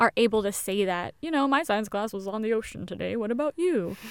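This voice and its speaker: A woman speaks fairly quickly in a normal speaking voice, fairly high in pitch with lively intonation. The recording is very clean and dry, close with no echo, over a silent background. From Indonesia (American family). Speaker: podcast co-host. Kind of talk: casual chat.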